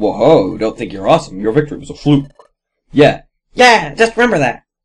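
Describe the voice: This put-on character voice jumps through very wide pitch swings. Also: man, fairly high pitch for a man, moderate pace.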